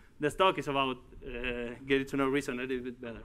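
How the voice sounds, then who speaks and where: Fairly quick-paced man with a Uruguayan accent. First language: Spanish. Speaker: tech company executive and conference speaker. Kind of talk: tech conference talk. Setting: stage with audience. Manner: halting. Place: hall.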